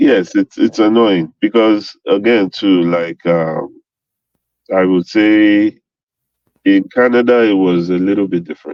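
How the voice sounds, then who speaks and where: The delivery moves at a fairly slow pace with fairly even intonation. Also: man, fairly low pitch for a man. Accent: Nigerian. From Nigeria. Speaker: engineer. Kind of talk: casual chat. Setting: podcast interview. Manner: halting.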